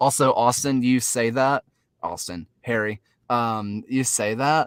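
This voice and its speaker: On a very clean, dry and close recording with a silent background and no echo, a man of medium pitch speaks at a fairly slow pace with a Southern US accent. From US South. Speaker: soccer podcast host. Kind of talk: casual chat. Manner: animated.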